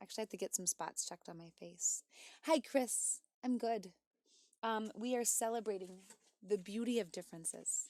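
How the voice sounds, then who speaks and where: A woman with an American accent, a fairly high pitch and a dark, mellow tone speaks at a moderate pace with long, frequent pauses, ordinary pitch variation and big swings in loudness, on a very clean recording with a silent background and a dry, close sound with no echo. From United States. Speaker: music streamer. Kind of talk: casual chat. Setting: live stream.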